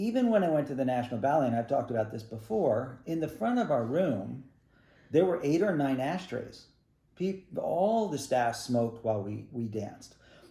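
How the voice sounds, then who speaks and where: Amid audible room echo, a man with a somewhat breathy, dark, mellow tone speaks at a moderate pace with lively intonation. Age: 60s. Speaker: ballet teacher and studio owner. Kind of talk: recorded statement to parents and students. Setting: video call. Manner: casual, halting with fillers.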